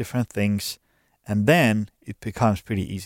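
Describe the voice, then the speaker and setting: A man speaks with a Finnish accent at a moderate pace. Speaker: podcast host and gym owner. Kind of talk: interview. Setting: studio.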